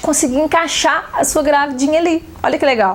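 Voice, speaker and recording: The talking moves fairly quickly while noticeable background noise carries on underneath. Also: woman. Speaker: photography teacher. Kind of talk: online seminar talk. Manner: fast; animated.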